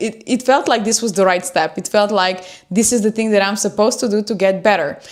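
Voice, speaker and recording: Her voice is fairly high-pitched, a woman speaking with a non-native accent. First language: not English. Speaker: self-improvement YouTuber. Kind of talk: livestream talk. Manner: unscripted, hesitant with fillers.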